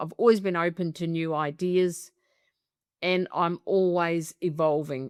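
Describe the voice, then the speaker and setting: A woman's fairly low voice in an Australian accent, on a very clean recording with a silent background and a dry, close sound with no echo. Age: 70s. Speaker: business coach. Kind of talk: testimonial interview. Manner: animated.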